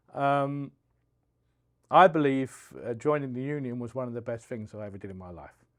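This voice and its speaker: Over a quiet background, a man with a London accent and a medium pitch talks at a fairly quick pace, using ordinary pitch variation, big swings in loudness, and long, frequent pauses. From South East London, England. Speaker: union business agent, steamfitter. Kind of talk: podcast interview. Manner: halting.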